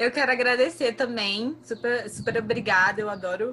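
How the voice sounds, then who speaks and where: A woman speaks in a bright, sharp tone. Her intonation stays fairly even. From Brazil, Maranhão (northeast). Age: 20s. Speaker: climate activist and biologist. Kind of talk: casual podcast conversation.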